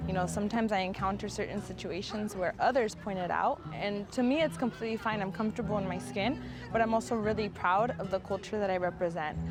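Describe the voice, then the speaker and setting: Music sits in the background as a woman talks at a very fast pace with hardly any pauses. Her medium-pitched voice shows ordinary pitch variation. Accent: Spanish. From Southern California, Coachella Valley. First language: Spanish. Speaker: nonprofit program director. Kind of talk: personal interview testimony.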